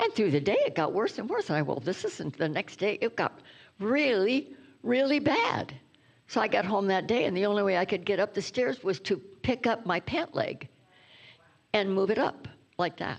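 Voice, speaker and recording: Her pitch medium, a woman speaks with very wide pitch swings. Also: moderate pace. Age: 90s. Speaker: reverend, guest speaker. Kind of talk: sermon.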